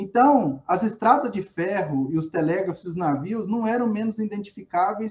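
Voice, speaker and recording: A man's high-pitched voice with lively intonation. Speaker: academic presenter, historian study group. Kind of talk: lecture.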